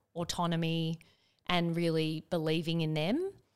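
A woman speaks with an Australian accent at a fairly low pitch, her intonation monotone and flat. The recording is very clean, with a silent background. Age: 40s. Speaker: business executive and investor. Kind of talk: casual chat. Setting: studio.

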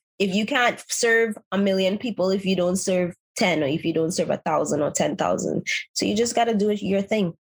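A somewhat breathy woman's voice at a moderate pace, with ordinary pitch variation and very even loudness. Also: medium pitch for a woman. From Trinidadian family. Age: 30s. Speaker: makeup artist and content creator. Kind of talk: interview.

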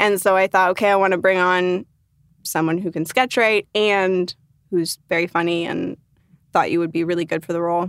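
In a normal speaking voice, a woman with an American accent talks at a moderate pace and a medium pitch, keeping her intonation fairly even. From US, Northern Virginia. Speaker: actor and acting teacher. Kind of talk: casual interview chat.

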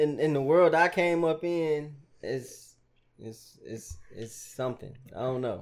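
A man's fairly high voice at a fairly slow pace, ordinary pitch variation and big swings in loudness. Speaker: podcast co-host and music producer. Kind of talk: casual chat.

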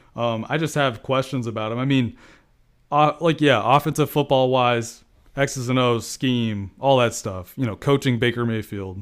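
A man's unremarkable speaking voice, medium in pitch with ordinary pitch variation, at a moderate pace, on a very clean recording with a silent background. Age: 20s. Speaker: football analyst. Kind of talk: casual chat.

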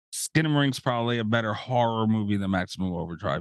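A man with a plain, everyday voice speaks at a fairly quick pace with lively intonation, and the sound is dry and close with no echo. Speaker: podcast host. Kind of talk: casual chat.

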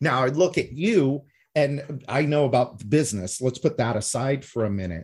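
A man's somewhat breathy, medium-pitched voice with lively intonation at a moderate pace, on a very clean recording with a silent background. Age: 50s. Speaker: podcast host. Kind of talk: podcast interview.

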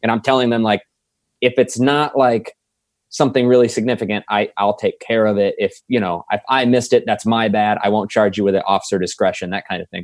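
A man with an American accent speaks fairly quickly in a medium pitch with fairly even intonation. It is a normal speaking voice, with a dry, close sound and no echo. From Indiana, south side of Indianapolis. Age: 20s. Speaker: police officer. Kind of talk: interview conversation. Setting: home office studio.

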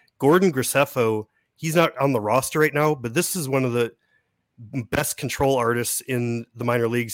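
With fairly even intonation and a medium pitch, a man speaks in a plain, everyday voice, the sound dry and close with no echo. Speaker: prospect analyst and podcaster. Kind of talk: casual chat. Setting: video call.

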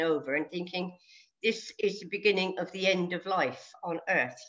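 At a moderate pace, a woman talks with a British accent. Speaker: age-group triathlete. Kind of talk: interview.

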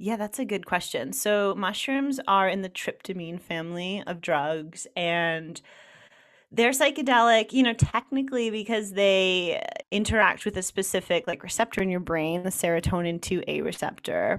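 An ordinary speaking voice with an American accent, lively intonation and a moderate pace, on a very clean recording with a silent background. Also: woman, medium pitch for a woman. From New York / New Jersey area. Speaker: journalist and author. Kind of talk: interview.

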